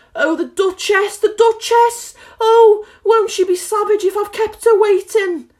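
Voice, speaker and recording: Speaking fairly slowly, a woman adopts a put-on character voice that is squeaky and extremely high-pitched. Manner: muttering, anxious.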